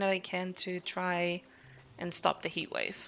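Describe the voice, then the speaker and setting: Here is a woman speaking with a Dutch accent. Her voice sits at medium pitch with a bright, sharp tone. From Netherlands. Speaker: streamer. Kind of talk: casual live-stream chat. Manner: hesitant with many fillers.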